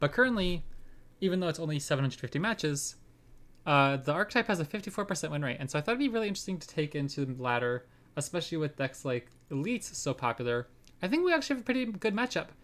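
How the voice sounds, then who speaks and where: The speech moves at a very fast pace. The recording is very clean, with a silent background. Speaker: card game streamer. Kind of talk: live gameplay commentary. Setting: live stream. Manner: babbly.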